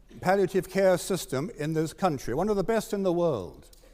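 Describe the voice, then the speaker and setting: This man speaks in a British accent with a high pitch. His tone is dark and mellow, his pace moderate. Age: 70s. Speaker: doctor and assisted dying campaigner. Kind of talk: formal debate speech.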